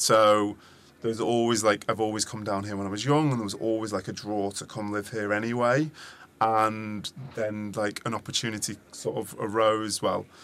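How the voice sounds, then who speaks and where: A man with a British accent, flat and monotone, at a moderate pace. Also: fairly low pitch for a man. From England. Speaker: founder of an events agency. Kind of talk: interview conversation. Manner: halting, with frequent repetitions.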